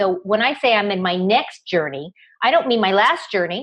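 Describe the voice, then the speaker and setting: A woman speaks at a moderate pace. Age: 60s. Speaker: business founder and web TV host. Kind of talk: casual chat. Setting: video call.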